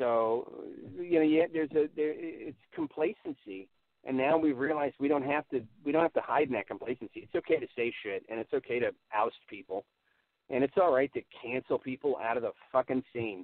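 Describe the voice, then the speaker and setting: At a fairly quick pace, a man speaks in a fairly high voice with ordinary pitch variation. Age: 40s. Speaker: stand-up comedian. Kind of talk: casual chat. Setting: remote call. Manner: halting.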